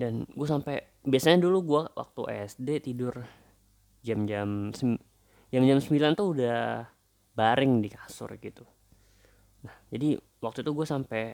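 Speaking fairly slowly with long, frequent pauses, a man uses a medium pitch, ordinary pitch variation and big swings in loudness. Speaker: podcaster. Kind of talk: casual monologue. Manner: halting, many fillers.

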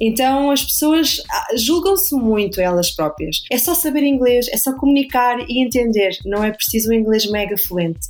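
A woman with a European Portuguese accent, lively intonation and a moderate pace. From Portugal, Lisbon. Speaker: recruiter. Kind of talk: interview.

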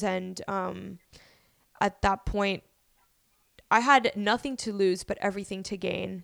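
With an American accent, a woman talks in a normal speaking voice at a medium pitch and moderate pace. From Miami, Florida. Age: 20s. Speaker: podcast host. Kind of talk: casual chat.

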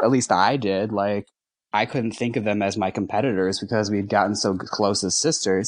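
In a plain, everyday voice, a man with an American accent speaks at a moderate pace, fairly low in pitch. His intonation is fairly even, and the background is quiet. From US Midwest, Milwaukee, Wisconsin. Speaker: drag queen. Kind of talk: casual interview.

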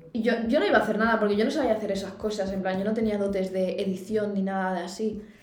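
In a room with audible echo and noticeable background noise, a woman talks at a fairly quick pace. Her pitch sits fairly high. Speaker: podcast co-host. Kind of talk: casual chat. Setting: university room.

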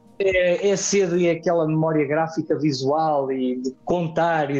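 A man's fairly high pitch with ordinary pitch variation. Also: very even loudness. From Portugal, Vagos (Aveiro district). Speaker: mountain guide. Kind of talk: interview conversation. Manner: talkative.

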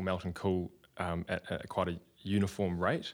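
A man with a fairly low pitch speaks in a very clean recording with a silent background. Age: 30s. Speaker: surfboard maker. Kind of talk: casual interview.

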